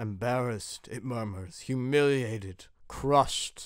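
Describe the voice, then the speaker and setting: A man puts on a hissing character voice at medium pitch and a fairly slow pace. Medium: read story.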